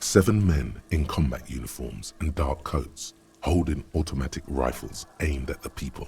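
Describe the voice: A man's put-on character voice at an extremely low pitch, slightly mellow in tone, with vocal fry and lively intonation. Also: moderate pace.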